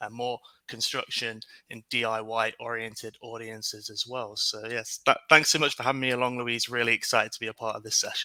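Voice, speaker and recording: A man speaks at a medium pitch in a bright, sharp tone with monotone, flat intonation. His fairly quick delivery shows big swings in loudness. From UK. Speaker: market research director, webinar guest. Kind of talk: webinar Q&A.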